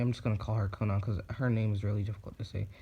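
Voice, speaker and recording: A man's dark, mellow, somewhat breathy voice. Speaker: YouTuber telling fan fiction. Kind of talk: casual storytelling monologue. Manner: halting, many fillers (um).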